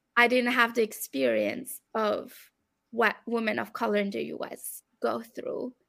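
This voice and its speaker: A woman talks with a French accent. Her pace is fairly slow. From France and Belgium. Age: 30s. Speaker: academic researcher. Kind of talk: interview conversation.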